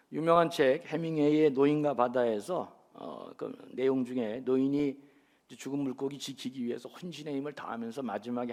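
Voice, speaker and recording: The man moves along at a moderate pace, his pitch varying in an ordinary way. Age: 60s. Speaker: pastor. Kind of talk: sermon. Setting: church. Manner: animated.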